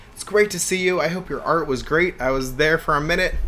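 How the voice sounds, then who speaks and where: There is noticeable noise in the background. The man talks very fast. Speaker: streamer cooking on a live stream. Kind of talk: casual live-stream chat. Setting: home kitchen live stream. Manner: animated.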